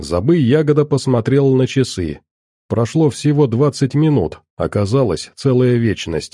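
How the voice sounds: The background is quiet as someone reads in a natural reading voice, pitch shifting in an ordinary way.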